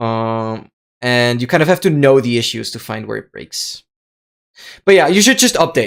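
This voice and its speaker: The recording of this man's voice is very clean, with complete silence behind it. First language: German (Austrian). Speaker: live streamer and gamer. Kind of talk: casual live stream chat. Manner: animated; fast with stammers.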